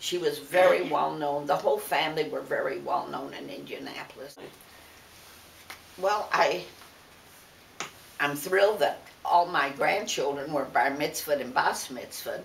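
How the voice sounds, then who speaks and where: A woman with an American accent speaks at a moderate pace, leaving long, frequent pauses. Her voice carries audible room echo over noticeable background noise. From US Midwest, Detroit. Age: 90s. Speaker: interviewee, family elder. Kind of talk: oral history interview.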